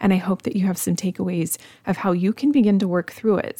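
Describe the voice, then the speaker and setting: A woman talks at medium pitch and a moderate pace in a plain, everyday voice. The sound is dry and close with no echo, on a very clean recording with a silent background. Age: 30s. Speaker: podcast host, food blogger. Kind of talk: solo podcast monologue, mindset coaching. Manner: casual, conversational.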